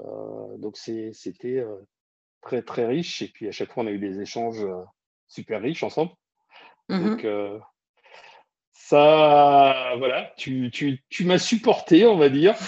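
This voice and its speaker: At a very slow pace with long, frequent pauses, a man of medium pitch speaks with very wide pitch swings. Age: 50s. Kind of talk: casual interview.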